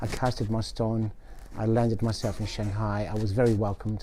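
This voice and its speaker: A man with an English accent, a dark, mellow tone, a fairly quick pace and very even loudness. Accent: English unlike Italian host's. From Italy, born in Australia. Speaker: chef. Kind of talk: interview.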